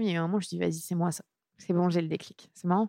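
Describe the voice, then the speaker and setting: A woman is talking here. Her voice is fairly low. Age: 30s. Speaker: sports journalist. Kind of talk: interview.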